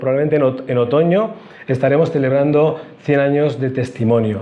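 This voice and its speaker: Someone talks at a fairly quick pace with ordinary pitch variation, and audible room echo can be heard. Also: man. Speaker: church union director. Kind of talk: talk to theology students. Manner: fast.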